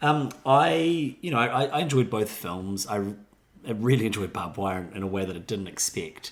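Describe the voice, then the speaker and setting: A man in a New Zealand accent, fairly low-pitched, lively in intonation, at a moderate pace. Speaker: film podcast co-host. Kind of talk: casual chat; scripted outro.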